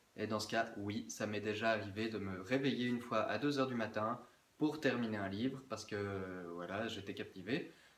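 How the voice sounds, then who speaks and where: Audible room echo surrounds a man talking at a moderate pace. His pitch is fairly low and varies in an ordinary way. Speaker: book vlogger. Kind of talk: casual chat. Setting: indoors, windows closed.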